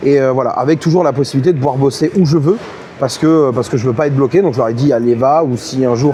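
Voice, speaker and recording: With noticeable background noise behind him, a man talks very fast in a fairly high pitch. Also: ordinary pitch variation, very even loudness. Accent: southern French. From southern France, Montpellier. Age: 30s. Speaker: esports caster and host. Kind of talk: interview. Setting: on site at esports event. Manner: halting, many fillers.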